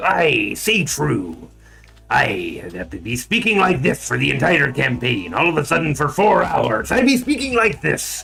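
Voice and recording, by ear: A man puts on a character voice pitched fairly high. Music plays in the background. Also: moderate pace.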